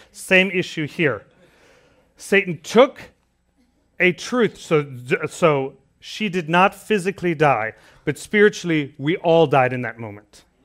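On a very clean recording with a silent background, a man speaks with lively intonation. He has a plain, everyday voice at a fairly high pitch. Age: 30s. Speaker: preacher. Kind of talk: sermon.

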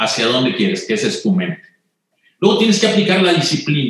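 A man speaks with lively intonation. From Mexico, Monterrey. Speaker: retired corporate executive. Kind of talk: interview conversation.

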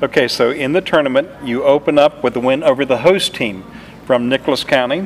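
There is noticeable background noise behind this man. He talks at a fairly quick pace with a fairly high pitch and ordinary pitch variation. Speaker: sports interviewer and announcer. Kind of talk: interview.

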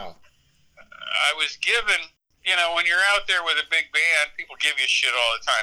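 Long, frequent pauses break up a man's speech at a moderate pace. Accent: American. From US Midwest (central Iowa). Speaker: rock tour manager and music photographer. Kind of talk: casual interview storytelling. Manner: relaxed, carefree storytelling.

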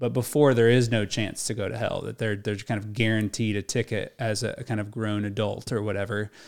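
In a very clean recording with a silent background, a man with a fairly low pitch talks at a fairly quick pace in a flat monotone, hardly pausing at all. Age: 30s. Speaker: podcast co-host discussing faith. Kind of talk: casual faith discussion.

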